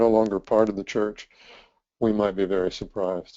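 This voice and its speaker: This man has a plain, everyday voice, fairly low in pitch with fairly even intonation. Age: 60s. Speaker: ministry leader and trainer. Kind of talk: presentation.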